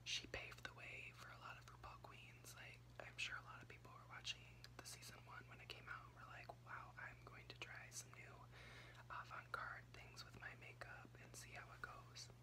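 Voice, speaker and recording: A soft-spoken man whispers at a moderate pace amid noticeable background noise. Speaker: ASMR creator. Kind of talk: casual ramble recap talk to camera. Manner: whispered, soft-spoken. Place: home room. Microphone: phone near.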